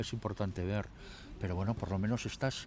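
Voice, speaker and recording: A man's plain, everyday voice, fairly low in pitch, with fairly even intonation. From Basque Country, Trapagaran (Biscay). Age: 60s. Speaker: mayor. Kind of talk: interview.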